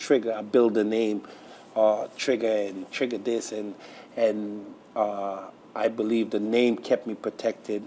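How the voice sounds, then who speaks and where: Flat and monotone, a man speaks at a fairly slow pace and fairly low pitch, leaving long, frequent pauses. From Trinidad, raised in Brooklyn, New York. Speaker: pastor. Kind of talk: interview testimony.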